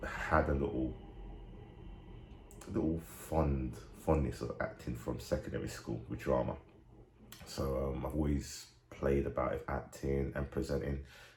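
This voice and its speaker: This man's voice is very deep and low in pitch, with ordinary pitch variation and a moderate pace. He leaves long, frequent pauses, and audible room echo surrounds him. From England, Nigerian family. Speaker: actor and radio DJ. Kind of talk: interview.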